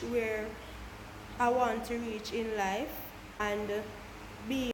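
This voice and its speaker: Someone with a Jamaican accent speaks at a very slow pace with fairly even intonation. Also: woman. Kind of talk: casual talk to camera. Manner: stutters.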